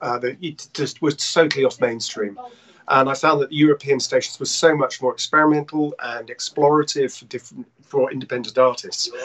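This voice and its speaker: With an English accent, a man speaks at a fairly quick pace. His pitch shows ordinary variation. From England. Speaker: actor, songwriter and voice actor. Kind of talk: interview answer. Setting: Skype call. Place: home room. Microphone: video call.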